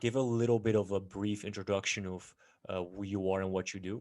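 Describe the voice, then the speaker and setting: On a very clean recording with a silent background, a man speaks. His pitch is fairly low and his intonation fairly even. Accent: Dutch. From Netherlands. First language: Dutch. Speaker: podcast host. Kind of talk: interview.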